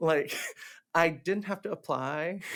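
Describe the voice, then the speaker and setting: A man with a Cantonese accent speaks in a high voice. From Hong Kong. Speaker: theatre director, actor and teacher. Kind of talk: casual chat. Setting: podcast interview. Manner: animated; halting, many fillers.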